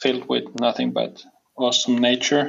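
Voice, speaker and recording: A man speaks with a Finnish accent. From southwest Finland. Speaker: footwear brand co-founder. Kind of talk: interview. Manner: halting.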